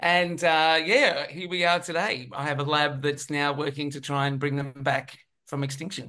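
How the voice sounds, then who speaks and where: A man talks at a moderate pace with a fairly high pitch and a bright, sharp tone. His intonation is fairly even, and the background is quiet. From UK, raised in Australia. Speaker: scientist, professor. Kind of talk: casual interview.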